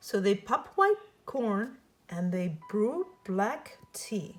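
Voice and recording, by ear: Slowly, a woman speaks at a medium pitch, her voice making big pitch swings.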